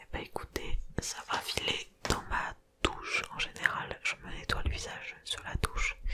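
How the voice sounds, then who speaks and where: Whispering at a fairly slow pace in a relaxed tone, a woman is heard over noticeable background noise. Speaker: ASMR content creator. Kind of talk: ASMR unboxing in a soft whisper. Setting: close microphone, home recording. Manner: soft-spoken, whispering, relaxed.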